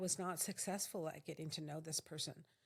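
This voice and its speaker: Here a woman with an American accent uses a normal speaking voice at a moderate pace. Her intonation is fairly even, on a very clean recording with a silent background. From US West Coast (Silicon Valley). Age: 60s. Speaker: photographer. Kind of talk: casual chat.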